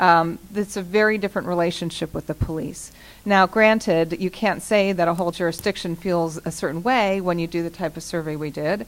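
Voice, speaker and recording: With an ordinary speaking voice, a woman talks at a fairly low pitch and a fairly quick pace, her intonation fairly even and hardly any pauses. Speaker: panel moderator and researcher. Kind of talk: panel presentation.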